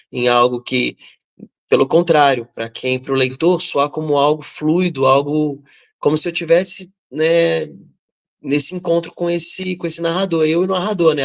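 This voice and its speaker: A man's fairly high voice at a moderate pace, with ordinary pitch variation and a dry, close sound free of echo. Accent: Rio de Janeiro. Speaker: writer. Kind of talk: panel discussion. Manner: halting; talkative.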